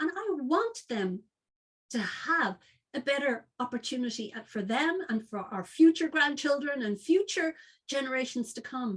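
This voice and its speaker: Her intonation is lively and her tone passionate, with big swings in loudness. The woman speaks at a moderate pace in a high pitch. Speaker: founder of an organisation funding women entrepreneurs. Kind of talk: webinar presentation.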